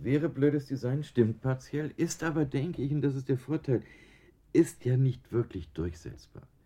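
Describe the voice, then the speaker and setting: Somewhat breathy and dark, mellow in tone, a man talks at a moderate pace and medium pitch with ordinary pitch variation. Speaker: design professor. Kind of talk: radio interview.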